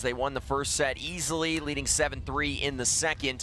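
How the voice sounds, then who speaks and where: The man's voice is fairly high in pitch. He keeps a moderate pace in a flat monotone. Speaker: sports play-by-play broadcaster. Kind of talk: live sports play-by-play commentary.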